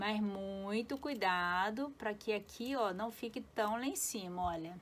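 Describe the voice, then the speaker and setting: Her intonation lively, a woman is speaking. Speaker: felt craft tutorial maker. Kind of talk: tutorial. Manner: chatty.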